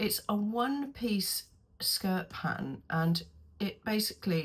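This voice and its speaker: A woman with a British accent speaks in a somewhat breathy voice with ordinary pitch variation. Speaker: sewing pattern reviewer. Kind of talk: casual tutorial review. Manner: hesitant, many ums.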